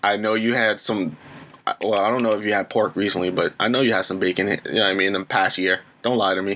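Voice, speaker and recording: At a very fast pace and very even loudness, a man talks with a fairly low pitch. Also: fairly even intonation. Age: 20s. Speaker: podcast host. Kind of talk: casual chat.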